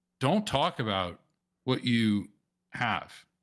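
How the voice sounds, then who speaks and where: A man speaks with vocal fry in a very clean recording with a silent background. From US South, New Orleans. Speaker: Bitcoin wallet presenter. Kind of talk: presentation. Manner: halting, many fillers.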